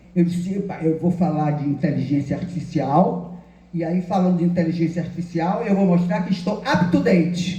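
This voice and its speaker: A woman with a fairly low pitch speaks in an animated tone at a moderate pace. Audible room echo surrounds her voice. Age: 80s+. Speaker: retired law professor. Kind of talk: lecture.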